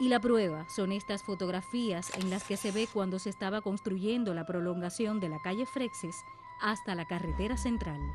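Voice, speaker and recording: A woman talks at a medium pitch while music plays in the background. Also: ordinary pitch variation, moderate pace. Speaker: announcer, voice-over narrator. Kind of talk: documentary narration.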